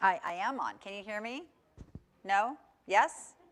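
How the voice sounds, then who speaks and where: A woman uses a raised, projected voice. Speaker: wildlife educator. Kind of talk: educational presentation.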